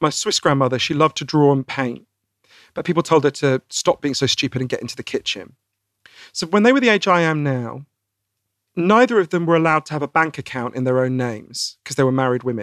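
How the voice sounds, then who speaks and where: A man with a British accent at a very fast pace, lively in intonation, the sound dry and close with no echo against a quiet background. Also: fairly high pitch for a man. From Britain. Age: 40s. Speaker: author. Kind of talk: interview.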